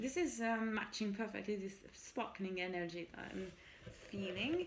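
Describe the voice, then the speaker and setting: A woman speaks with a French accent and lively intonation. Audible room echo is present. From France. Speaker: tarot reader. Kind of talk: tarot reading, casual solo talk. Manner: switches between French and English.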